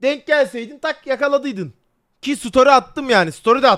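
A man shouts loudly at a fairly quick pace, his voice extremely high and his tone bright, sharp and animated. He sounds loud throughout. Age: 20s. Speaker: livestreamer. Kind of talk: casual livestream chat. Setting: livestream. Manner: loud, almost shouting.

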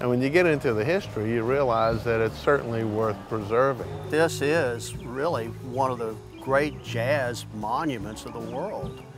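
Clear music plays behind a man speaking at a moderate pace. His pitch varies in an ordinary way, and the sound is dry with no echo. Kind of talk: interview answer. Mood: warm, enthusiastic. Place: street.

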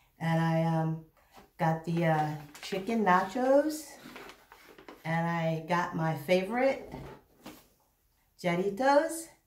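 Speaking very slowly with long, frequent pauses, a woman with a fairly low pitch is heard in a room with audible echo. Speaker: mukbang vlogger. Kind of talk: casual vlog chat.

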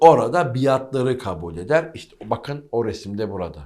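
Animated in tone, a man with a medium pitch swings very widely in pitch as he speaks. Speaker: history presenter and author. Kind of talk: history monologue for video. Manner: animated, emphatic.

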